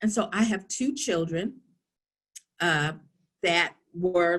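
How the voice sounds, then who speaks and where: A woman with a New York accent talks with lively intonation. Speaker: workshop presenter on social emotional learning. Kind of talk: online workshop talk. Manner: animated.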